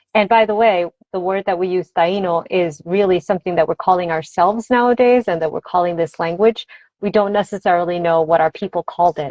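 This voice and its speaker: A woman talks at a fairly quick pace. Her voice is fairly low, and her intonation is fairly even. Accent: Spanish. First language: Spanish. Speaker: author and language teacher. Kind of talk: interview. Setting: video call.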